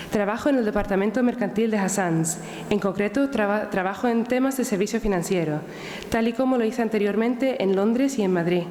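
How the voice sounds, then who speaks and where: Against noticeable background noise, a woman speaks at a fairly quick pace in a fairly high pitch, with ordinary pitch variation and very even loudness. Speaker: lawyer and campaign leader. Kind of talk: formal speech at panel. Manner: formal; halting.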